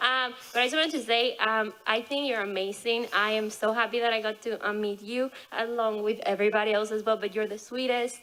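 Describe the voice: Talking at a fairly quick pace with few pauses, a woman has a fairly high, fairly bright voice and fairly even intonation.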